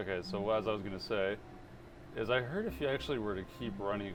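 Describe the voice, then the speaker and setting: Audible room echo surrounds the speech. It goes at a fairly quick pace, with ordinary pitch variation. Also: man. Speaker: gaming youtuber. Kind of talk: let's play commentary.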